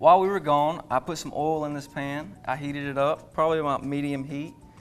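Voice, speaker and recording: A man speaks with a strong Southern accent at a fairly high pitch. His delivery is fairly quick, with monotone, flat intonation. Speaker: chef. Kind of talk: cooking demonstration.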